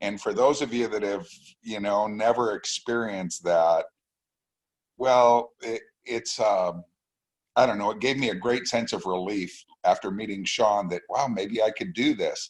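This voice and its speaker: A man with a plain, everyday voice, fairly low in pitch, with ordinary pitch variation and a fairly slow pace. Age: 60s. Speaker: business owner, trading student giving testimony. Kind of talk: testimony.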